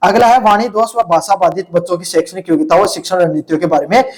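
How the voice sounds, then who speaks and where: A man with a high pitch speaks at a moderate pace. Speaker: teacher. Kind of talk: lecture. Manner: casual, conversational teaching.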